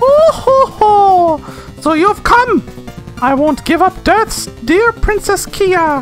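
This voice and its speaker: Over clear background music, a put-on character voice speaks at an extremely high pitch and a very slow pace. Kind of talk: exaggerated villain laugh. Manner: gloating, theatrical.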